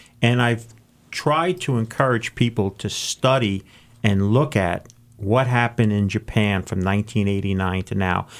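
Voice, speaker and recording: In a normal speaking voice, a man talks at a fairly slow pace with a fairly low pitch and ordinary pitch variation, on a very clean recording with a silent background. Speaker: co-host, financial writer and sports ministry worker. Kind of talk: radio co-host chat.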